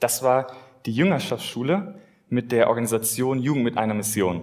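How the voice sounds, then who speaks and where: A man's ordinary speaking voice at medium pitch and a moderate pace. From Germany, Westerwald (Rhineland-Palatinate). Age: 20s. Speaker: lay preacher. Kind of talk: sermon.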